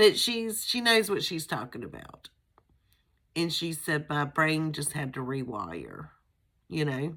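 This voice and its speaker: A woman with a very deep, low voice and vocal fry speaks fairly slowly, swinging very widely in pitch and leaving long, frequent pauses. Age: 50s. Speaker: grief vlogger. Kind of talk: casual personal vlog. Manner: conversational with many fillers.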